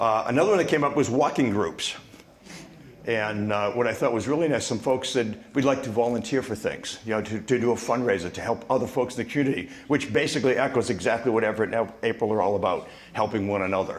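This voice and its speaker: A man talks at a very fast pace with a Boston accent. Noticeable background noise is present. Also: medium pitch for a man, ordinary pitch variation. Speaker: discussion table facilitator. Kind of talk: reporting back to a meeting. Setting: community club meeting with microphone.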